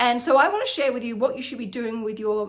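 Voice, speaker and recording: A woman's high voice with ordinary pitch variation, with an Australian accent, over noticeable background noise. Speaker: financial planner and finance vlogger. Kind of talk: educational vlog.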